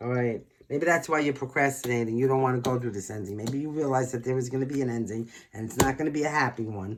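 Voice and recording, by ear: At a fast pace, a man talks at medium pitch with ordinary pitch variation.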